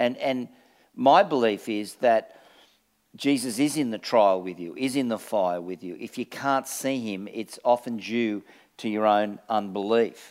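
A man with an Australian accent speaks at a fairly slow pace with ordinary pitch variation and big swings in loudness. The recording is very clean, with a silent background. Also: medium pitch for a man. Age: 60s. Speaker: pastor. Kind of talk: sermon. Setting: church.

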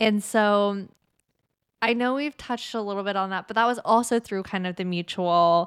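On a very clean recording with a silent background, a woman speaks fairly slowly in a normal speaking voice at medium pitch with ordinary pitch variation. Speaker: podcast host. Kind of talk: casual chat.

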